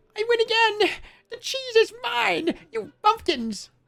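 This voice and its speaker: Someone puts on a squeaky character voice at an extremely high pitch, speaking fairly slowly. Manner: gloating, triumphant.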